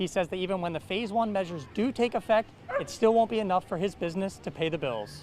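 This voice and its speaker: Over noticeable background noise, a man with an American accent talks very fast in a high voice with lively intonation. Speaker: TV news reporter. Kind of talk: TV news reporter package and live shot.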